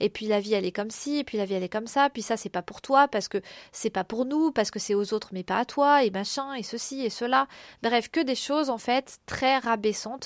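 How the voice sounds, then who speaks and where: A woman speaks at a fairly quick pace with a fairly high pitch and ordinary pitch variation. The sound is dry and close with no echo, on a very clean recording with a silent background. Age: 30s. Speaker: podcast host, artist. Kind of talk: personal reflective monologue. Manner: hesitant, many fillers.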